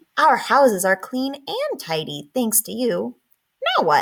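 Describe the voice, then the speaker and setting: Fairly slow pacing from a put-on character voice. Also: woman, high pitch for a woman. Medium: read story.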